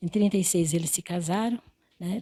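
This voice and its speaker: The voice has a dark, mellow tone and fairly even intonation. It moves at a fairly quick pace in a dry, close sound with no echo. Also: woman. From Brazil, interior of São Paulo state (Quintana). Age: 80s+. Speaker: retired teacher. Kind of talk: interview. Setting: at home. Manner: halting.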